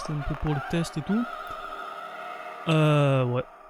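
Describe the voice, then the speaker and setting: A soft-spoken man talks at a fairly slow pace with ordinary pitch variation, his voice echoing in the room over background music. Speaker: video game streamer. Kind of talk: casual gameplay commentary. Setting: live stream. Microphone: mic set to cut background noise, quiet when low.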